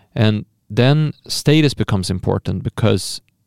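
Recorded very cleanly against a silent background, a man speaks at a medium pitch in a dry, close sound with no echo. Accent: Swedish. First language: Swedish. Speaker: podcast host. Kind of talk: casual chat.

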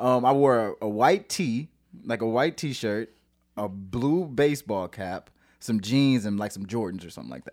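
A man's plain, everyday voice with an American accent at medium pitch, big swings in loudness, in a very clean recording with a silent background. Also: moderate pace. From St. Louis, Missouri. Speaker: singer-songwriter. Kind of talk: casual chat. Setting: studio.

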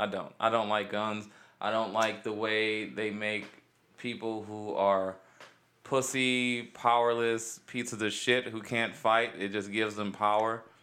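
With a bright, sharp tone and an American accent, the voice carries audible room echo. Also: man. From Cleveland, Ohio (east side). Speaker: comedian. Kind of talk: casual chat. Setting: studio.

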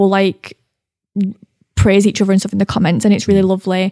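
A woman with a Mancunian accent speaks in a flat monotone, her dark, mellow tone recorded dry and close with no echo. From Manchester, England. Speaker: social media creator. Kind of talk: interview, personal testimony. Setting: in-person studio recording. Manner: talkative.

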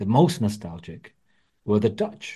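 In a quiet background, a man speaks in a dark, mellow tone. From England, Wolverhampton (West Midlands). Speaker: author and journalist. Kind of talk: interview.

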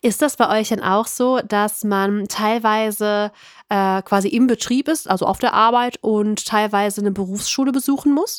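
A woman with a Cologne accent, fairly high pitch, ordinary pitch variation, very even loudness and a moderate pace. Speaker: podcast host. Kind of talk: interview.

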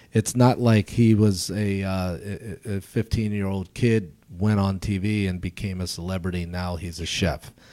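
With an American accent, a man talks at a moderate pace with hardly any pauses, his fairly low, dark, mellow voice keeping a fairly even intonation on a very clean recording with a silent background. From US, Baltimore. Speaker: chef and entrepreneur. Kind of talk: casual interview.

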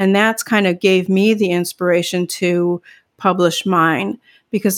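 A woman's plain, everyday voice at a medium pitch, with an American accent, a moderate pace and fairly even intonation, on a very clean recording with a silent background. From US Midwest. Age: 50s. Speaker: author and hypnotherapist, former nurse. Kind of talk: interview.

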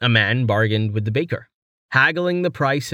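Lively intonation in plain reading aloud, the background quiet

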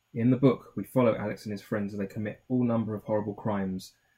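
Read aloud plainly, the text keeps a fairly even intonation.

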